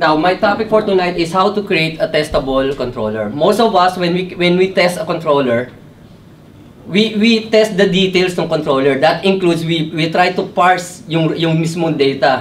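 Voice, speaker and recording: There is light background noise as a man speaks at a moderate pace. His pitch is high, with ordinary variation. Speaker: presenter. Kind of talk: technical talk. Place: meeting room. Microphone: camera far.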